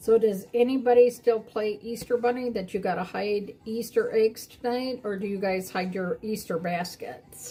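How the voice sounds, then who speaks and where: In a plain, everyday voice, a woman talks at a moderate pace with hardly any pauses, fairly high pitch and fairly even intonation. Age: 60s. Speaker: crafter streaming live. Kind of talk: live stream craft demo chat. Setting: live stream. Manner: casual, many fillers.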